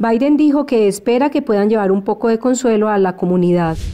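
At a fairly quick pace, a woman talks with a fairly high pitch and a dark, mellow tone. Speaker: news reporter. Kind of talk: newsreading, voiceover report narration. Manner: even, brisk, neutral and formal.

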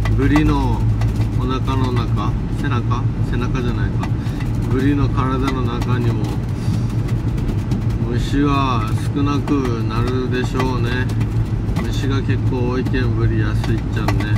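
A man talks at a fairly slow pace with long, frequent pauses. Loud background noise fills the recording. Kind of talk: casual vlog chat. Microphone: phone near.

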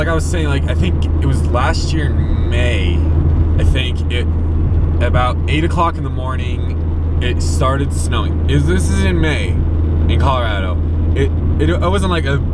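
Amid loud background noise, a man talks at a moderate pace with long, frequent pauses in a dry sound with no echo. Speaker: vlogger. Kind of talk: casual vlog chat. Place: car. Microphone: phone near.

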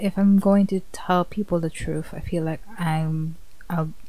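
At a fairly slow pace, a woman speaks in a flat monotone, with a dry sound and no echo. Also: fairly low pitch for a woman. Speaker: vlogger. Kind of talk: emotional personal vlog talk. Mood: sad, emotional, thankful. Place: home room. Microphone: studio mic.

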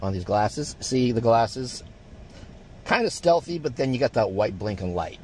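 A man speaks with very wide pitch swings in a dry, echo-free sound, with light noise behind him. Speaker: vlogger. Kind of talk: casual vlog chat. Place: car.

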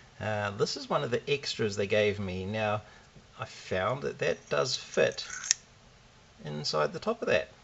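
At a fairly slow pace, a man talks. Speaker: hobbyist reviewer. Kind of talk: tutorial. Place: workshop.

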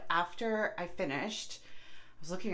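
A woman talks while light background noise can be heard. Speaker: home vlogger. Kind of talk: casual vlog chat. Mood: self-deprecating, candid. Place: bathroom. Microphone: phone near.

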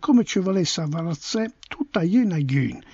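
A man with a high pitch and an Apulian accent. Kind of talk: dialect poetry reading.

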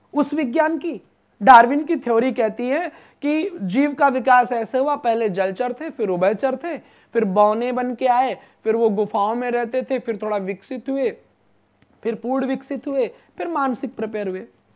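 An extremely high-pitched man's voice with ordinary pitch variation, over a quiet background. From Uttar Pradesh, India (Naimisharanya); Uttar Pradesh. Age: 20s. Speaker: religious storyteller. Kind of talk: religious discourse in interview. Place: studio. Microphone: lapel.

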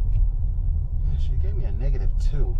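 A man is talking. Loud noise fills the background. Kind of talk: comedic sketch dialogue. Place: car. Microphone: camera far.

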